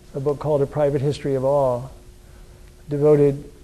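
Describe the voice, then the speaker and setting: Audible room echo around a man with a fairly high pitch, moving at a moderate pace. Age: 70s. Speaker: author. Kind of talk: lecture. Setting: lecture hall with audience. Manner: halting.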